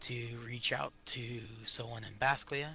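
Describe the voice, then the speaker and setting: Faint music plays in the background as a man uses a raspy, put-on character voice at a medium pitch. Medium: game stream. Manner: calm, explanatory.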